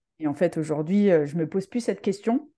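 A woman speaks at a moderate pace in a fairly low pitch. Her tone is dark and mellow, with a quiet background. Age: 40s. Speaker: hockey coach, former international player; hockey coach. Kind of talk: testimony. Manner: halting, many hesitations. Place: home room. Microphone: video call.

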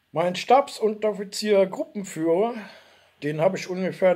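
A man's high-pitched, dark, mellow voice with ordinary pitch variation, at a moderate pace over a quiet background. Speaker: video blogger, former soldier; video blogger. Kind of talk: personal storytelling monologue. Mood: warm, nostalgic. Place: home room. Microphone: webcam.

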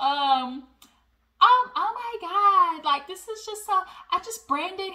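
In a squeaky, put-on character voice pitched extremely high, a woman speaks very slowly. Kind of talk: casual vlog commentary. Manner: girly, gushing. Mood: amused, animated.

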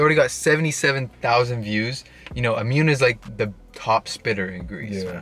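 The tone is bright and sharp, and the sound is dry with no echo. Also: man. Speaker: YouTube reaction host. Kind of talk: casual vlog chat. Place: car. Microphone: phone near.

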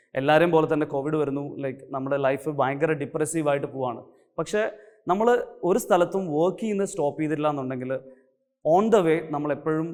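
This man has a normal speaking voice, a fairly high pitch, and ordinary pitch variation. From Kerala, Kannur district. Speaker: chartered accountant and teacher. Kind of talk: motivational talk.

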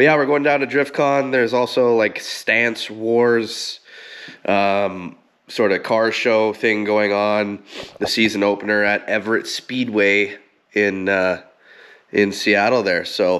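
A man's fairly low voice, fairly even in intonation, at a very slow pace against a quiet background. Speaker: car owner vlogger. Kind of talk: casual vlog chat. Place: garage. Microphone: phone near.

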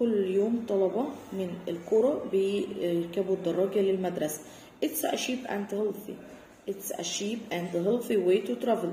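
Speaking with an Egyptian accent, a woman goes at a fairly slow pace with ordinary pitch variation. Room echo is audible, along with light background noise. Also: medium pitch for a woman. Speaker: English teacher. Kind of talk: tutorial. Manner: explanatory, code-switching between Arabic and English. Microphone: phone near.

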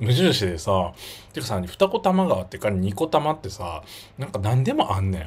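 With very wide pitch swings, a man speaks at a moderate pace in a fairly low, somewhat breathy voice. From Japan, Miyazaki; Japan. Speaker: YouTuber. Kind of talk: livestream casual chat. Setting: livestream. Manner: animated. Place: home room. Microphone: phone near.

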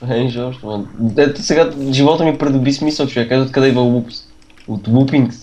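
A man with a medium-pitched voice speaks at a moderate pace, the tone dark and mellow. His pitch variation is ordinary. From Bulgaria. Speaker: gamer. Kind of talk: casual chat.

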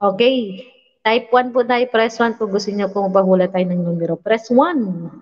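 A woman speaks with a fairly high pitch and ordinary pitch variation. The background stays quiet. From Visayas, Philippines. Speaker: livestream vlogger hosting giveaway games; livestream host. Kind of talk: casual livestream chat reading viewer names. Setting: live stream. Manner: animated. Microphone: studio mic.

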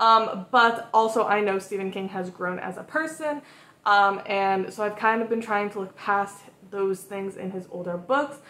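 At a moderate pace and with ordinary pitch variation, a woman is speaking. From Massachusetts, US. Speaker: book vlogger. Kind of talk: casual vlog talk. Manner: casual, filler-heavy. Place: home room.

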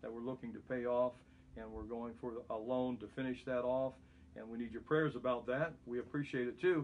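The man speaks at a fairly quick clip. His intonation stays fairly even. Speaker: pastor. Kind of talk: bible study teaching. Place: home room. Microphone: phone near.

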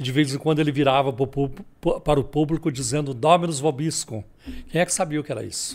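A man talks at a very fast pace in a fairly high pitch. His intonation stays fairly even. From southern Minas Gerais, Brazil. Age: 70s. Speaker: pastor and apologetics author; pastor. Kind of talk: podcast interview. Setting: studio. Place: studio. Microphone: studio mic.

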